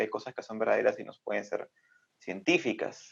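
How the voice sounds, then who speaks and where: A man talks at a very fast pace. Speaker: critical-thinking video channel creator and guest. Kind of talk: casual interview answer. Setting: video call (Zoom), recorded remotely. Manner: calm, thoughtful, measured.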